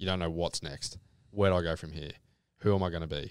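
A man with a Queensland accent talks at a very fast pace in a very deep, low voice, his intonation monotone and flat. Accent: Australian (Queensland). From Brisbane, Australia. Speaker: electrical apprentice, former pro golfer. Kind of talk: casual interview chat.

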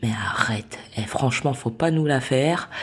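A woman's voice with lively intonation. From Saint-Denis, Paris suburbs. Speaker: interviewee. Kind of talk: personal testimony.

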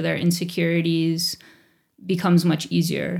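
A woman with an American accent and a fairly low pitch, on a very clean recording with a silent background. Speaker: elementary school teacher. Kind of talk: interview conversation.

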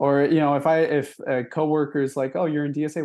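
A man at a moderate pace, fairly high in pitch, with a dark, mellow tone. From Milwaukee, Wisconsin. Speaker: delivery driver and union activist. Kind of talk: interview.

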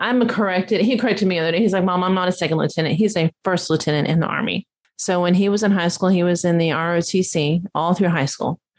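A woman with a Texan accent speaks at a fairly quick pace, her intonation fairly even. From Dallas, Texas. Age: 50s. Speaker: small business owner, florist. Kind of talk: casual interview.

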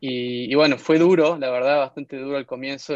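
Recorded with a dry, close sound and no echo, a man speaks at a medium pitch. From Argentina, Tucumán (Concepción). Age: 30s. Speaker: entrepreneur. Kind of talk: interview testimony.

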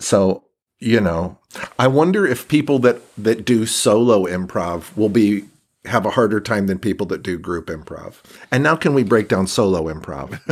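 A plain, everyday voice speaks at a moderate pace with lively intonation. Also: man, fairly low pitch for a man. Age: 50s. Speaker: improviser and teacher. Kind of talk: casual chat.

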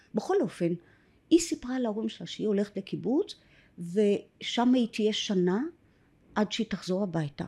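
This woman has a dark, mellow tone, speaking at a moderate pace with ordinary pitch variation. The recording is very clean, with a silent background. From Israel, kibbutz in Upper Galilee. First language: English (speaking Hebrew). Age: 60s. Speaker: adoptee sharing her story. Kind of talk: personal testimony interview. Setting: filmed podcast studio.

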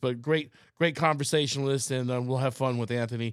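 Recorded very cleanly with a silent background, the speech has fairly even intonation and a fairly quick pace, an ordinary speaking voice. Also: man. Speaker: podcast host. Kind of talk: casual interview chat. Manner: rambling, repeats words often.

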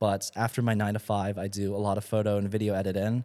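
Very fast and in a monotone, flat delivery, a man with a fairly low, dark, mellow voice speaks in a very clean recording with a silent background. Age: 20s. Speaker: content creator. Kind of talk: casual chat.

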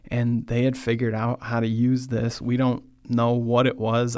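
This man speaks with a Midwestern accent. His pitch sits in the medium range. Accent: general American, Midwestern. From US Midwest, Michigan. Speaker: podcast host and church speaker. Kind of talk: sermon-style talk. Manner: slow, deliberate, start and stop; not fast or excitable.

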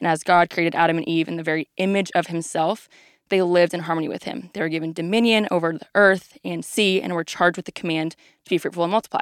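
A woman's fairly low voice with an American accent, very fast and fairly even in intonation, in a dry, close sound with no echo. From Texas, Dallas area. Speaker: ministry resident. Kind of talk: presentation of Bible overview.

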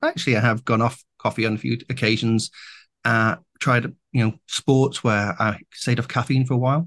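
A man's medium-pitched, normal speaking voice at a moderate pace, very even in loudness with fairly even intonation, dry and close with no echo against a quiet background. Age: 50s. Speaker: AI and new media entrepreneur, podcast host. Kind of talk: interview conversation.

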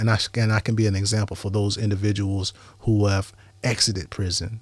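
A man with a fairly low, somewhat breathy voice speaks at a fairly quick pace. His intonation is flat and monotone. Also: very clean recording, silent background. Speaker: former prisoner. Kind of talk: interview.

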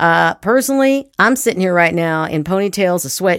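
A woman with a plain, everyday voice talks at a fairly quick pace. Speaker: podcast host, actor and acting teacher. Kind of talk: casual interview chat.

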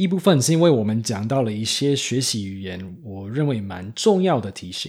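A man with an American accent and a plain, everyday voice talks at a fairly quick pace and medium pitch, his intonation lively. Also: very clean recording, silent background. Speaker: podcast host. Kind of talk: scripted narration.

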